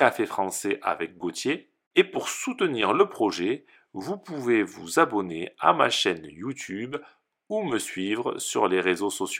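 A man talks at a very slow pace in a bright, sharp tone with very wide pitch swings. The recording is very clean, with a silent background. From southern France. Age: 30s. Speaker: French teacher. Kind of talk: podcast introduction for language learners. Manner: slow, clear.

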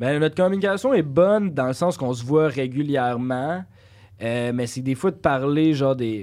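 With an ordinary speaking voice, a man talks at a moderate pace in a fairly high pitch and lively intonation. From Quebec, Saint-Lambert-de-Lauzon. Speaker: content creator. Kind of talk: casual chat.

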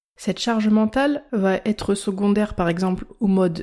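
Speaking with a French accent, a woman has a dark, mellow tone at medium pitch, a fairly slow pace, and ordinary pitch variation. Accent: self-described poor English pronunciation. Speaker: health podcaster and blogger. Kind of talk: scripted podcast monologue.

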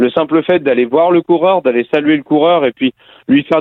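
This man speaks in a normal speaking voice at a fairly high pitch. He talks at a fairly quick pace with ordinary pitch variation. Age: 30s. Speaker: cycling race announcer. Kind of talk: interview.

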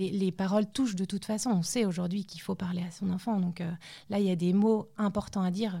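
At a fairly quick pace, a somewhat breathy, dark, mellow tone carries fairly even intonation on a very clean recording with a silent background. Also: woman, medium pitch for a woman. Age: 30s. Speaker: mother of premature babies. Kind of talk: testimony.

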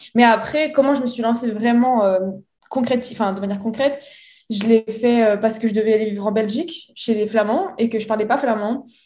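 A woman speaks at a moderate pace in a fairly high pitch with ordinary pitch variation. Her tone is dark, mellow and somewhat breathy. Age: 20s. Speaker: entrepreneur. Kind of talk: interview. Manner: halting.

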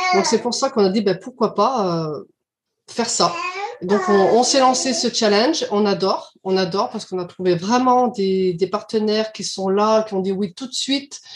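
This is a normal speaking voice with a moderate pace and ordinary pitch variation. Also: woman, fairly high pitch for a woman. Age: 50s. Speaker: childminder, club co-founder. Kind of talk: casual interview.

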